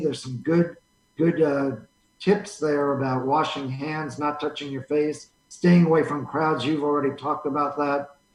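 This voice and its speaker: Moderately paced speech comes from a man. He has an unremarkable speaking voice, pitched fairly high. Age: 60s. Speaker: radio station owner and coronavirus patient. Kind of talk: interview.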